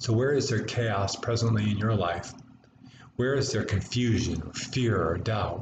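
Over noticeable background noise, a man with an American accent speaks at a fairly low pitch and moderate pace, with ordinary pitch variation. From United States. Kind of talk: homily delivered in church. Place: home room. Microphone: webcam.

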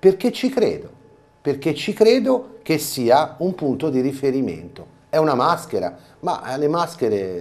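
Speaking at a fairly slow pace, a man with a fairly high pitch makes very wide pitch swings. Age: 50s. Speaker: carnival mask performer and theatre director; TV guest. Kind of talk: interview; interview answer. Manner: halting. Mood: earnest, explaining. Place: studio. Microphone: lapel.

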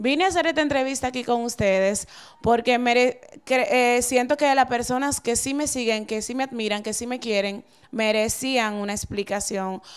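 In a Dominican accent, a woman speaks at a moderate pace with a high pitch and ordinary pitch variation against a quiet background. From Dominican Republic. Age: 30s. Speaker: TV presenter and model; TV presenter. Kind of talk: interview. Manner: halting. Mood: earnest, explaining herself. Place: office. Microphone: handheld.

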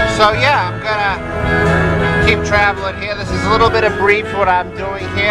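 Someone speaks with an American accent over loud background music. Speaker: driver on a road trip. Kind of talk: casual talk to camera while driving. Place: car. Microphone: phone near.

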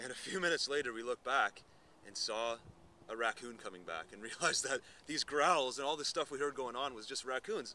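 A man talks at a fairly quick pace with a medium pitch. His tone is bright and sharp, with ordinary pitch variation.

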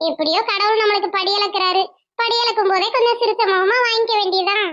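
Using a cartoonish character voice at an extremely high pitch, a woman speaks at a moderate pace. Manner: polite, warm, calls the other woman "akka".

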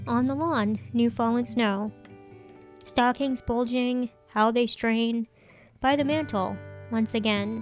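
Over music in the background, a woman speaks very slowly, with long, frequent pauses. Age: 40s. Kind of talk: poetry reading.

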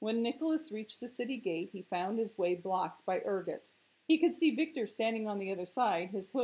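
A natural reading voice with lively intonation

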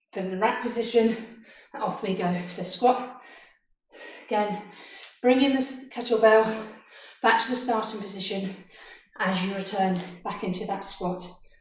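A somewhat breathy woman speaks at a moderate pace with fairly even intonation and long, frequent pauses. Light background noise and audible room echo can be heard. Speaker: fitness instructor. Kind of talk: workout instruction. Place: home room. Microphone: camera far.

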